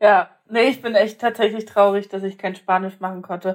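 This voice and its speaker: A woman speaks at medium pitch with ordinary pitch variation. Her pace is moderate. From Germany, partly raised in Poland. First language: Polish (speaking German). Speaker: podcast co-host. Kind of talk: casual chat. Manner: animated.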